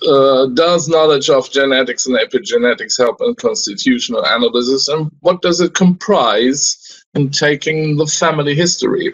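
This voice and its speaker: Speaking at a moderate pace, a man with a fairly high pitch talks with a German accent. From Germany, Hamburg. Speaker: homeopath lecturer. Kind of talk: lecture. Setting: video call.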